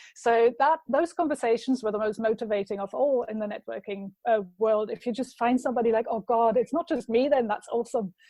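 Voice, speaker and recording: A woman's fairly high voice in a German accent, fairly quick, with hardly any pauses and ordinary pitch variation. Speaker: marketing consultant. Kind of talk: casual chat.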